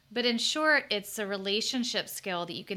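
A woman talks at a fairly quick pace in an American accent, with lively intonation. She has a plain, everyday voice. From US South. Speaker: clinical psychologist. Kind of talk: interview conversation.

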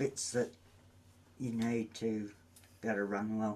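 Very slow speech in an Australian accent. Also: man. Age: 60s. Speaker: running coach. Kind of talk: casual chat.

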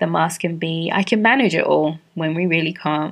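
A woman talks at a moderate pace. Her pitch is fairly low. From London, England, Caribbean parents. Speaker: podcast host and counselor. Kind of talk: solo podcast monologue.

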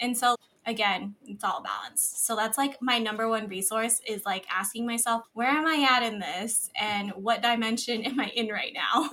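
At a moderate pace, a woman with a normal speaking voice talks at a fairly high pitch and with fairly even intonation. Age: 20s. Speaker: tax professional and business founder. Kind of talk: casual interview chat.

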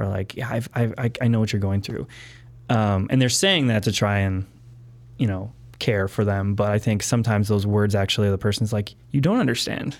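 A plain, everyday voice from a man, fairly low-pitched, at a fairly quick pace with fairly even intonation. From Wisconsin, Milwaukee area. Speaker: entrepreneur. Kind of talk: interview.

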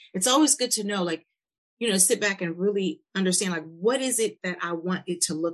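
An unremarkable speaking voice from a woman with an American accent, medium in pitch, with ordinary pitch variation at a fairly quick pace. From US Midwest, Milwaukee. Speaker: podcast host, life coach. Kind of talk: casual interview.

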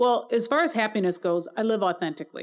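Talking fairly quickly, a woman uses a normal speaking voice, and her pitch varies in an ordinary way. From Milwaukee, Wisconsin. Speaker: small business owner, mobile app developer. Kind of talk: interview.

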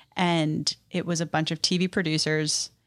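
In a very clean recording with a silent background and a dry, close sound with no echo, the speaker uses an American accent, fairly even intonation and a very slow pace. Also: woman. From New York City. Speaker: television producer. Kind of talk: casual interview.

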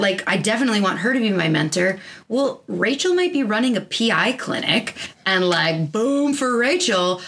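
Noticeable background noise behind speech at a moderate pace. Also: woman, very even loudness. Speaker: chiropractor and podcast host. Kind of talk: casual chat. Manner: loud.

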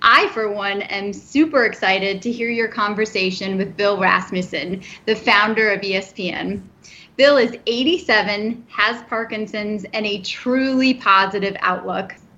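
A woman's ordinary speaking voice, medium in pitch, at a fairly slow pace with ordinary pitch variation. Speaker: movement disorder specialist doctor. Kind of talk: interview. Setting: remote recording from home.

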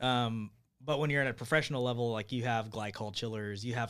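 A man with a plain, everyday voice and an American accent talks at a fairly quick pace and a medium pitch, in a very clean recording with a silent background. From Bakersfield, California. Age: 30s. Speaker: brewery owner. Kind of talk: casual chat. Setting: studio.

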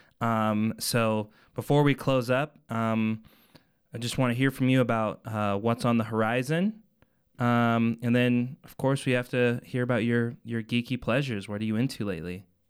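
Speaking with an American accent and an ordinary speaking voice, a man keeps a medium pitch, a moderate pace and fairly even intonation. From Colorado, Arvada. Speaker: podcast host. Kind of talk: casual interview.

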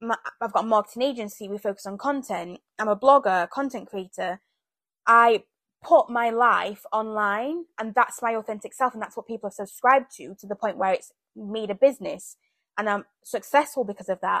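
A woman with a British accent talks at a fairly quick pace and a fairly high pitch. Her loudness swings widely, and the recording is very clean with a silent background. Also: ordinary pitch variation, dry, close sound with no echo. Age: 20s. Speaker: podcast host. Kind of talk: casual solo monologue.

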